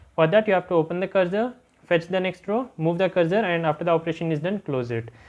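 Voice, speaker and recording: Very fast speech over a quiet background. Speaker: exam revision tutor. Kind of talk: tutorial. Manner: frequent fillers.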